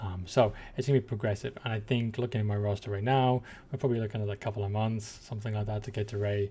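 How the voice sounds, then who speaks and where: Against a quiet background, a somewhat breathy voice with a dark, mellow tone races along at a very fast pace, its intonation fairly even. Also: man, fairly low pitch for a man. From England. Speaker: gaming YouTuber. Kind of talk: casual game commentary.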